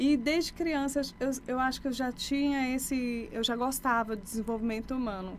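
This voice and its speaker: Audible room echo surrounds a woman who speaks at a high pitch with ordinary pitch variation and hardly any pauses. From Brazil, Maranhão (Imperatriz), born in Bahia. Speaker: life coach. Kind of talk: podcast interview.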